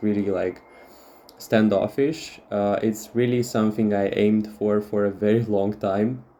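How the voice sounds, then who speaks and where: A man with a Russian accent speaks at a fairly slow pace, his fairly low voice dark and mellow in tone. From Moldova. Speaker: tarot reader. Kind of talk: tarot reading monologue. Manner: halting with many fillers.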